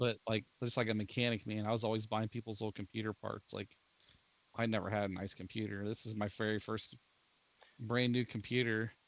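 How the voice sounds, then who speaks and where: Monotone and flat, a man speaks at a fairly quick pace. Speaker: gamer, IT worker. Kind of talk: casual chat. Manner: halting, repeats words.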